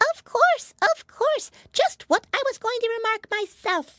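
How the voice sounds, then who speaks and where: A woman puts on a squeaky character voice at an extremely high pitch, speaking at a fairly slow pace with lively intonation. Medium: read story.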